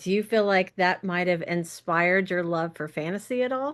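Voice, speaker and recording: A woman with a normal speaking voice, fairly low in pitch, speaks at a moderate pace in an American accent against a quiet background. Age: 40s. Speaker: podcast host. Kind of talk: interview.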